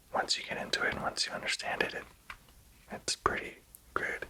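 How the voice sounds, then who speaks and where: A man is whispering. Noticeable background noise is present. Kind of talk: ASMR whisper ramble. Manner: casual, rambling.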